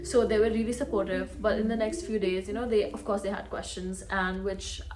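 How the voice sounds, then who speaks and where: A woman moves along at a fairly quick pace amid audible room echo and noticeable background noise. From India. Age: 20s. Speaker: artist and content creator. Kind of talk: casual vlog.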